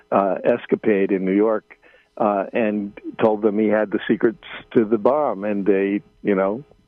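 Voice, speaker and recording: A man's fairly low, monotone, flat voice with an American accent at a fairly slow pace, music in the background. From United States. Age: 70s. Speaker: journalist. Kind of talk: radio interview. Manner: halting, many fillers.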